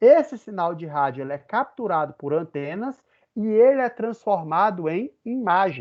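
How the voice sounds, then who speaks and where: This man has a high pitch and a northeastern Brazilian accent. His intonation is lively. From Brazilian Northeast. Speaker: physics professor. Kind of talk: lecture. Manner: conversational.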